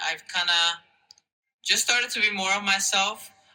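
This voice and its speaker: In a Spanish accent, a man speaks with monotone, flat intonation. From Mexico, then New Jersey from age eight. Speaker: university student. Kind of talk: interview. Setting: conference. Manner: hesitant, many fillers.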